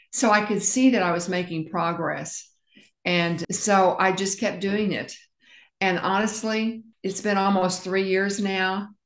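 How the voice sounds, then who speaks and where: Monotone, flat delivery against a quiet background with audible room echo. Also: woman, fairly slow pace. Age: 70s. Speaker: interviewee sharing health journey; interview guest. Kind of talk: interview testimony. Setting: interview. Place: home room. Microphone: video call.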